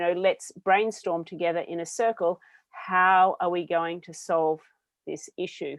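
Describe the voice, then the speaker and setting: A woman speaks in an Australian accent. Her pitch is medium and her pace moderate. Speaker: business owner. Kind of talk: panel discussion.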